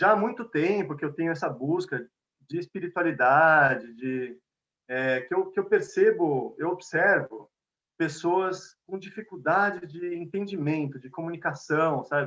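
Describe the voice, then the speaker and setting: At a fairly slow pace, a man speaks with a São Paulo accent and a high pitch. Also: ordinary pitch variation. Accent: São Paulo (paulistano) Portuguese. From Brazil, São Paulo. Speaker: conflict mediator and lecturer. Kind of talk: lecture. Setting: video call. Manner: conversational.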